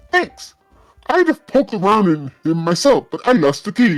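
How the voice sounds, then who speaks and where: Putting on a character voice, a man speaks high in pitch at a moderate pace with very wide pitch swings while faint music plays in the background. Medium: game stream. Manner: folksy, rambling.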